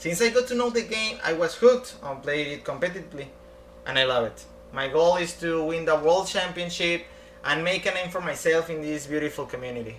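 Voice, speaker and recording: With noticeable background noise, a man with a Spanish accent speaks at a fairly quick pace in a high pitch, his intonation lively. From Mexico. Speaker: competitive card game player. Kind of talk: prepared self-introduction.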